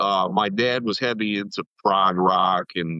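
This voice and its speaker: A very slow-paced man with an American accent and fairly even intonation. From US South, East Tennessee. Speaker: music producer. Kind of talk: podcast interview. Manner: casual, filler-heavy.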